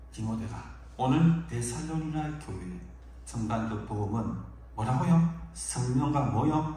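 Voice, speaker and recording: A man talks at a very slow pace, with audible room echo and noticeable background noise. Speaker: pastor. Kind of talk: sermon. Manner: forceful.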